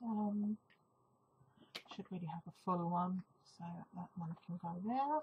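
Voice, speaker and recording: Soft-spoken and fairly slow, a woman with a medium-pitched voice and ordinary pitch variation takes long, frequent pauses in a dry, close recording with no echo. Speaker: craft blogger. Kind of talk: tutorial. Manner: hesitant. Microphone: sometimes too quiet.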